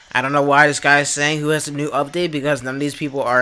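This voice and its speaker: Noticeable background noise behind a man at a medium pitch. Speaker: gaming YouTuber. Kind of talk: gameplay commentary. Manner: casual, many fillers.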